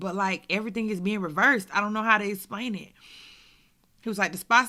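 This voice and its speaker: Speaking at a very fast pace, a woman with a medium pitch sounds animated, her tone bright and sharp on a very clean recording with a silent background. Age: 30s. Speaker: stroke survivor. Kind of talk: testimony.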